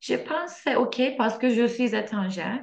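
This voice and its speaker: Pitched fairly high, a woman's voice carries a non-native accent. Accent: foreign accent in French. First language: Turkish (speaking French). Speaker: French learner. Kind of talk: oral exam practice. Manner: halting, many hesitations.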